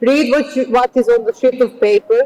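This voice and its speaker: With a Serbian accent, a woman speaks at a moderate pace in a high voice, the sound dry and close with no echo. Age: 40s. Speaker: architect and lecturer. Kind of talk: lecture. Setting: auditorium. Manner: halting.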